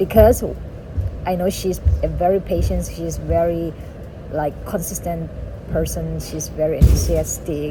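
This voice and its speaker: Long, frequent pauses break a woman's fairly slow speech, heard with audible room echo and noticeable background noise. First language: a local dialect, not English. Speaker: vlogger, cruise ship worker. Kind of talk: casual vlog talk. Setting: outdoors.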